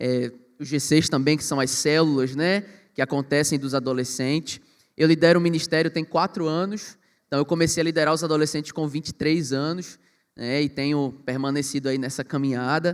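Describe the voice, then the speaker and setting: With a normal speaking voice, a man talks at a fairly high pitch and with fairly even intonation. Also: moderate pace. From Brazil, Pernambuco (Recife metropolitan area). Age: 20s. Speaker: youth pastor. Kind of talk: panel discussion.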